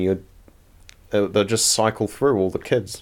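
Heard in a very clean recording with a silent background, the voice has a New Zealand accent and ordinary pitch variation. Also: man. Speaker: podcast co-host. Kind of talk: casual chat. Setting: living room at night. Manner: laughs often, playful.

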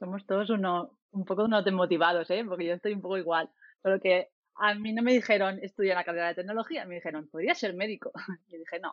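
Talking at a very fast pace, a woman keeps her medium-pitched voice at fairly even intonation. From Spain, Murcia. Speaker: software developer and team lead. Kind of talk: casual panel discussion.

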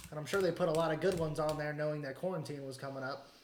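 A man's fairly high-pitched speech comes through noticeable background noise. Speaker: podcast co-host. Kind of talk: casual chat. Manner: loud.

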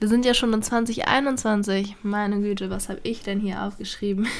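Over noticeable background noise, a woman speaks at a medium pitch in a monotone, flat delivery. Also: hardly any pauses. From Germany, Berlin (Charlottenburg). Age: 20s. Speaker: podcaster, aspiring actress. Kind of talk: solo podcast introduction, casual monologue. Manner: casual with frequent fillers and laughter.

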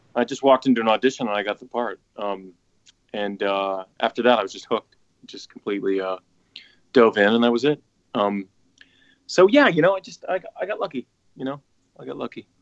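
Speech comes at a fairly quick pace with an American accent and lively intonation. Loudness swings widely, and long pauses come often. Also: man, medium pitch for a man. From Pittsburgh, western Pennsylvania. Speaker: actor and stage professional. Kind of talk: casual chat.

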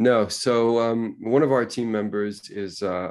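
An ordinary speaking voice with an American accent and ordinary pitch variation is heard over a quiet background. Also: man. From New York City. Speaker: automotive design communications manager. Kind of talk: interview.

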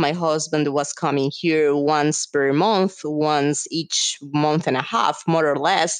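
Speaking at a very slow pace, a woman with a Spanish accent has a very deep, low pitch. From Colombia. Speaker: business executive. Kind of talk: interview.

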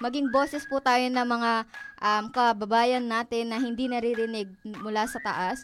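A woman's ordinary speaking voice, fairly high in pitch, with fairly even intonation and a moderate pace. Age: young. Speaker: college student, student organization president. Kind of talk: radio interview.

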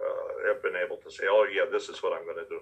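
This man has an American accent and an extremely high-pitched voice. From Chicago suburbs, US Midwest. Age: 80s+. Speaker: film director. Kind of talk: interview.

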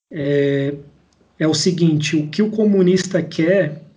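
A high-pitched man's dark, mellow tone with ordinary pitch variation and audible room echo. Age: 20s. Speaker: engineer and political activist podcaster. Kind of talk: casual political discussion.

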